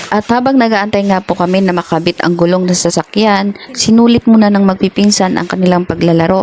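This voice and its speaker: A woman in a Visayan accent, medium pitch with ordinary pitch variation, fairly quick pace, amid noticeable background noise. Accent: Visayan accent in Tagalog. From Visayas or Mindanao, Philippines. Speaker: vlogger. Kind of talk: casual chat; vlog narration.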